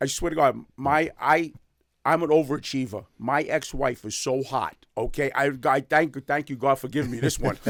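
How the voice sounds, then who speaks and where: Speaking at a moderate pace, a man with a New York accent has a fairly high pitch. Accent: New York (Bronx). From New York City, the Bronx. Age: 60s. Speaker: dry cleaning business owner and social media personality. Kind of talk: podcast interview. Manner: energetic.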